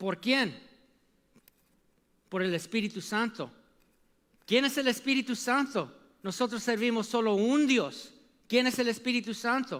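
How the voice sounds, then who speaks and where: With an animated tone and an extremely high pitch, a man speaks fairly slowly with ordinary pitch variation and long, frequent pauses. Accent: non-native. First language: English (speaking Spanish). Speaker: preacher. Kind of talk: sermon. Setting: church.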